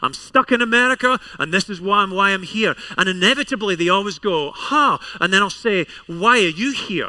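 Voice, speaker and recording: In a Scottish accent, a man speaks at a fairly quick pace with a raised, projected voice. His high pitch has ordinary variation and a bright, sharp tone. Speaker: pastor. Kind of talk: sermon. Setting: church service with congregation.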